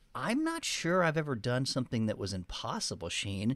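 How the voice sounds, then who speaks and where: In a very clean recording with a silent background, a man with an American accent talks at a fairly quick pace, his pitch swinging very widely. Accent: Texan, reduced. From Texas. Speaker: podcast co-host and author.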